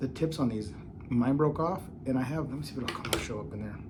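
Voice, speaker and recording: A man's fairly high, somewhat breathy voice with a dark, mellow tone, a fairly quick pace and audible room echo. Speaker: knife reviewer. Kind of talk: product review. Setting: at home.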